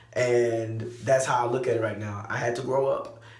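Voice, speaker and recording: Delivered at a fairly quick pace with an American accent, the speech has fairly even intonation and audible room echo. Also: man. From Texas, Lake Jackson. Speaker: vlogger and musician. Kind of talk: personal vlog update.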